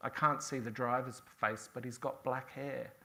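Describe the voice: The speech is plain reading aloud with fairly even intonation.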